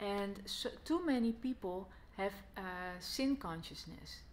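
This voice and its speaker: With a Dutch accent and lively intonation, a woman talks at a very slow pace over light background noise. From Netherlands. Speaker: Bible teacher. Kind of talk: gospel teaching talk to camera. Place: home room. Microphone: phone near.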